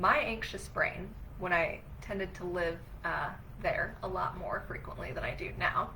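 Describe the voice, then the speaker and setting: Heard through audible room echo and noticeable background noise, a woman talks at a fairly slow pace. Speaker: relationship coach. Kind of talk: livestream talk. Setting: live video stream. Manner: animated.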